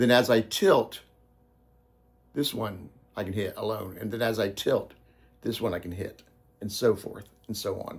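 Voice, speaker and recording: A man's somewhat breathy voice at a medium pitch, very slow in pace, with ordinary pitch variation. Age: 60s. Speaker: guitarist and studio owner. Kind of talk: video explainer. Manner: halting, many fillers; casual.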